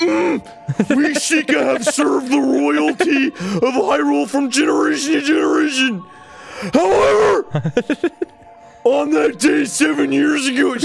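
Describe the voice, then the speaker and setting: Using a put-on character voice pitched extremely high, a man speaks over clear music in the background. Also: fairly slow pace. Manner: stern.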